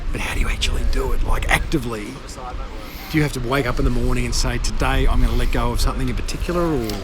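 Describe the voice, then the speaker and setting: Over noticeable background noise, a man speaks very fast with an Australian accent. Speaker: podcast host. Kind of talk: street interview. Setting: outdoors.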